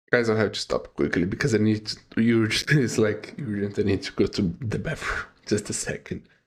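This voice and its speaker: A man with a non-native accent speaks at a fairly quick pace and a fairly low pitch, with ordinary pitch variation. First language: not English. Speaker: music reaction youtuber. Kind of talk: reaction video commentary. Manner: halting, many fillers.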